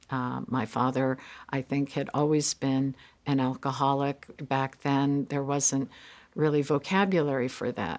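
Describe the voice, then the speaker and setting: A woman with a very deep, low pitch talks at a fairly slow pace on a very clean recording with a silent background. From United States, moved often. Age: 50s. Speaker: Korean adoptee. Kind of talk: interview testimony. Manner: hesitant, many fillers.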